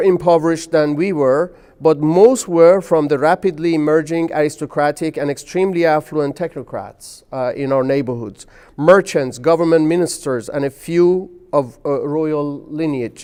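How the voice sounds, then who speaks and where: Over a quiet background, a man with a Persian accent and a dark, mellow tone talks at a fairly slow pace in a fairly high pitch with ordinary pitch variation. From Iran, Tehran. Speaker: chemistry professor. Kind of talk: interview. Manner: hesitant, frequent uh fillers.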